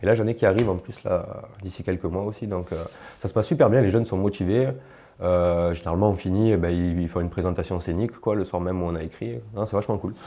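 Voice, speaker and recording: A man talks at a very fast pace in a very deep, low voice with ordinary pitch variation. His tone is dark and mellow. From Marseille suburbs, southern France (Martigues); southern France. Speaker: rapper; guest. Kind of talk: interview. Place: home room. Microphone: lapel.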